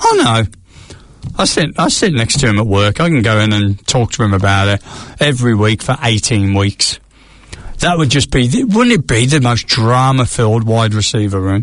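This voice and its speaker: Over noticeable background noise, a man with an English accent speaks at a moderate pace with very even loudness and ordinary pitch variation. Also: medium pitch for a man. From England. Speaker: podcast co-host. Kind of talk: casual chat. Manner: animated.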